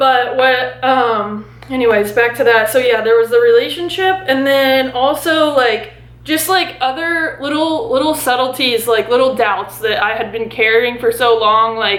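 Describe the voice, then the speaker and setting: A woman talks at a high pitch and moderate pace, her pitch varying in an ordinary way, with audible room echo and noticeable background noise around her. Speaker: lifestyle vlogger. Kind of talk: personal vlog monologue. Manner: halting.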